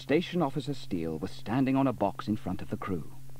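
Lively intonation in an unforced reading voice

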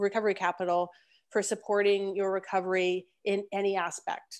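Here a woman speaks at a moderate pace. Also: quiet background. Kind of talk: webinar presentation. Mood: warm, encouraging. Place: home room. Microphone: earbuds.

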